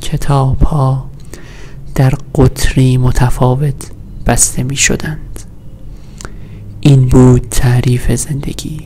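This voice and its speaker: A soft-spoken man talks very slowly in a flat monotone, with light noise behind him. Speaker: ASMR creator. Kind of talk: sleep story reading of poetic prose. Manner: soft-spoken, slow. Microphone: studio mic.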